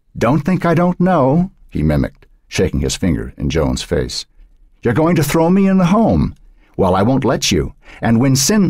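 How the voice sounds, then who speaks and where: A man puts on a raspy character voice with an angry tone at medium pitch. He keeps a moderate pace and very even loudness. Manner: angry, mimicking.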